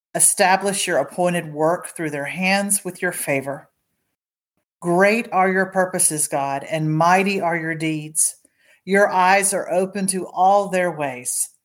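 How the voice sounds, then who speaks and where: A woman with a plain, everyday voice, medium in pitch, fairly slow and fairly even in intonation, on a very clean recording with a silent background. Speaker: devotional prayer leader. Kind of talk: fervent intercessory prayer. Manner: earnest, pleading, heartfelt; reverent, tender.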